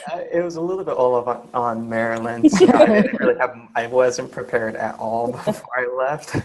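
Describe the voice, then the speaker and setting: Over noticeable background noise, a man speaks at a fairly quick pace and medium pitch, with ordinary pitch variation. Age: 20s. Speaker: house sitter. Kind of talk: panel interview.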